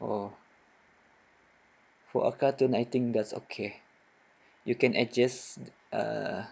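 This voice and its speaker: A man talks at a very slow pace with long, frequent pauses and vocal fry. His pitch is medium and his intonation monotone and flat. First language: not English. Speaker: software tutorial maker. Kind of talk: tutorial.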